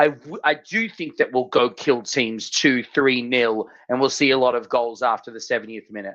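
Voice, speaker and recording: An Australian accent with hardly any pauses. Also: moderate pace. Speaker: football podcast co-host. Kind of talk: casual chat. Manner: animated.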